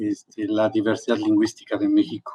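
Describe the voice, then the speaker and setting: A man with an Oaxacan accent at a moderate pace. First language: Mazatec (speaking Spanish). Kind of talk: formal book presentation. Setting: remote online event. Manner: hesitant with fillers.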